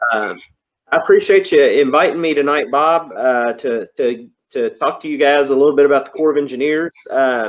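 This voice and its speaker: A man with a Kentucky accent, moderate pace and big swings in loudness. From Kentucky, Louisville area. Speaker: engineer. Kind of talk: presentation talk. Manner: halting, many fillers.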